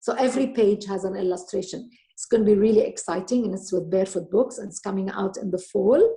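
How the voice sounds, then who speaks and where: At a fairly quick pace, a woman with a slight Lebanese accent speaks in a fairly high, somewhat breathy voice with a dark, mellow tone. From Lebanon. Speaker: author and storyteller. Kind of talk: interview.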